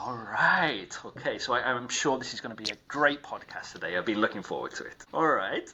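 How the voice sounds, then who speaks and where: The pace is fairly quick, with hardly any pauses from the man speaking. Behind him sits noticeable background noise. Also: big swings in loudness. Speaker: podcast host. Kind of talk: podcast interview questions.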